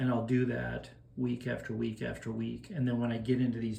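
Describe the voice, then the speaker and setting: In a room with audible echo, a man talks rather unhurriedly. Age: 60s. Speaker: masters powerlifter. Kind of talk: casual explanation of a training plan. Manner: casual, with filler hesitations.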